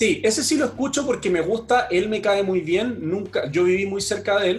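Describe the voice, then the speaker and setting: Over noticeable background noise, a man talks fairly quickly at a high pitch with lively intonation and hardly any pauses. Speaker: fitness podcaster and marketing professional. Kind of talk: casual chat.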